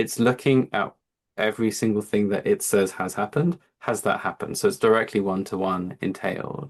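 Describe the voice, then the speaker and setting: Talking fairly quickly in an English accent, the speaker uses ordinary pitch variation. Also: man, fairly low pitch for a man. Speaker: physician and AI company founder. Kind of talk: seminar talk with Q&A.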